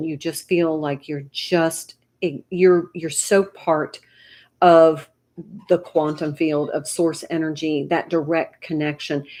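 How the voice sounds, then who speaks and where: The speech moves at a fairly slow pace with fairly even intonation in a very clean recording against a silent background. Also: woman. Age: 60s. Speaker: tarot reader. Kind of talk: live tarot reading. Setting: YouTube livestream. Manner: casual, conversational.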